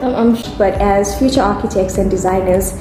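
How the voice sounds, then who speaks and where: A woman talks at a medium pitch. Noticeable background noise and audible room echo surround her voice. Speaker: architecture student, podcast co-host. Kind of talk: podcast intro reading and casual chat. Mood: giggly, a bit nervous. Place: home room. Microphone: phone near.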